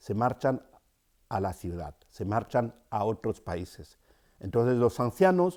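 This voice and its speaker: A man with a Cameroonian accent speaks very slowly in a dark, mellow tone, his pitch swinging very widely. The sound is dry and close with no echo, on a very clean recording with a silent background. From Cameroon, rural centre. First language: Yambasa (speaking Spanish). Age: 50s. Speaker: storyteller and writer. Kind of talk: interview. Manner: hesitant, with fillers.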